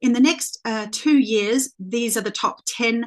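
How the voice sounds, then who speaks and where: A woman's fairly high voice at a moderate pace, with an Australian accent. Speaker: leadership coach. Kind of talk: presentation. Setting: video call. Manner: halting, many fillers.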